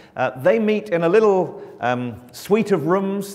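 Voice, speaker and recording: Against noticeable background noise, a man speaks at a fairly slow pace with lively intonation. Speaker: mission agency communications director. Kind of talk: church mission talk. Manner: loud; projecting.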